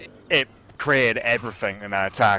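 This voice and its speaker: A plain, everyday voice moves at a fairly quick pace. Its pitch varies in an ordinary way. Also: man. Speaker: esports caster. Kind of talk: live commentary.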